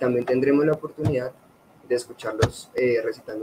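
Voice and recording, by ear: A man talks at a fairly quick pace and medium pitch. His tone is slightly mellow with a slightly husky edge.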